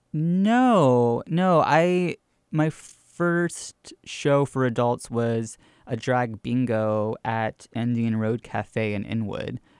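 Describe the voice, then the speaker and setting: A man with an American accent speaks at a very slow pace with lively intonation, in a dry, close sound with no echo. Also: medium pitch for a man. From US South, Georgia (Gwinnett County). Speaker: drag queen and storyteller. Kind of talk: interview conversation.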